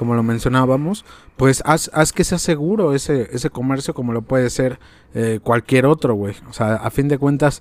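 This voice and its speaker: A man with an unremarkable speaking voice talks at a moderate pace in a medium pitch with ordinary variation, the sound dry and close with no echo. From Mexico. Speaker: podcast host. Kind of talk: casual chat.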